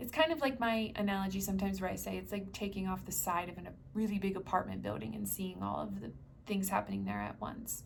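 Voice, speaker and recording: In an American accent, a woman talks at a very fast pace amid audible room echo. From US Northeast, New Jersey. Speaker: spiritual healer. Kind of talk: guided meditation talk. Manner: casual with fillers.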